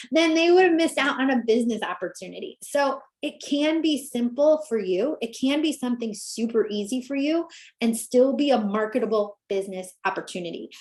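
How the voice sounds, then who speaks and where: The voice moves at a fairly quick pace with an animated tone and lively intonation. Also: woman, high pitch for a woman. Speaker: business coach. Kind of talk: webinar presentation. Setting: live video call. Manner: fast.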